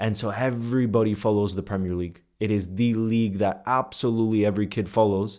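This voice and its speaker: With hardly any pauses and a very fast pace, a man speaks in a flat monotone at a fairly low pitch, his tone dark and mellow, on a very clean recording with a silent background. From United States, early childhood in Iceland. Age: 20s. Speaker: content creator. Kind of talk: casual storytelling monologue to camera. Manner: informal, with fillers and repetitions.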